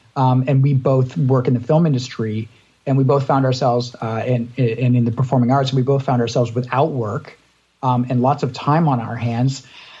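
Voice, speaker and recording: Somewhat breathy and dark, mellow in tone, this man's medium-pitched voice holds a monotone, flat intonation at a moderate pace. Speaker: podcast co-host. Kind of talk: casual interview chat.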